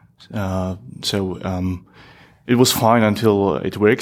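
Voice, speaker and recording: The speaker has a Polish accent and a monotone, flat delivery. The recording is very clean with a silent background. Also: man. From Poland. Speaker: software engineer and community expert. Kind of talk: interview conversation. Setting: at a tech conference.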